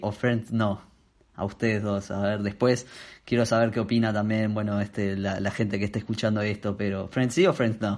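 A man with an unremarkable speaking voice and a fairly low pitch talks at a moderate pace against a quiet background. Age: 20s. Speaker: podcast co-host. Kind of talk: casual chat. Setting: video call.

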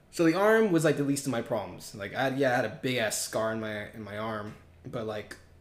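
A man with an American accent, medium pitch and ordinary pitch variation, talking at a fairly quick pace amid audible room echo. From Southern California, West Covina. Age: 20s. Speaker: college student. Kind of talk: casual chat.

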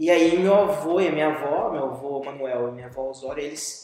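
Speaking at a moderate pace, a man talks with a Brazilian accent. The room echo is audible. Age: 40s. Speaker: visual artist. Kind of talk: interview. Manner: halting.

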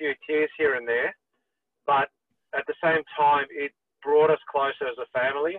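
A man with an Australian accent, fairly high in pitch, at a moderate pace. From Sydney, Australia. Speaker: property management business owner. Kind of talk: casual interview.

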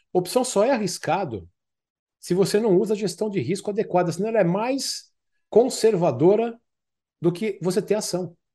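Over a quiet background, a man with a high pitch and a dark, mellow tone speaks at a moderate pace, using ordinary pitch variation and long, frequent pauses. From Brazil, São Paulo (Zona Norte, Tucuruvi). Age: 50s. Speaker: former orthopedic surgeon turned options trader. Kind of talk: interview conversation.

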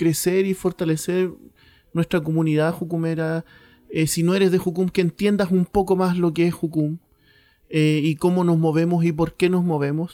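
This man has a high voice with a dark, mellow tone and a Chilean accent, speaking at a moderate pace in a monotone, flat intonation. His loudness stays very even, and the sound is dry and close with no echo. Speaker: mission base director, podcast co-host. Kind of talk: casual chat. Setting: recorded at home on mission base.

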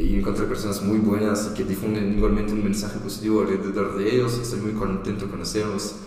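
A man's fairly low, monotone, flat voice at a very fast pace with hardly any pauses, amid noticeable background noise and audible room echo. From Belgium and France, part childhood in Costa Rica. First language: French (speaking Spanish). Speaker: traveller and volunteer project founder. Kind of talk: interview.

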